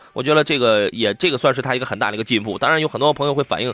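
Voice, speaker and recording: Noticeable background noise runs through the clip. A man talks at a very fast pace. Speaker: radio host, car show. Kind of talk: live radio call-in chat. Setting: radio studio. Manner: animated, humorous, fast talker.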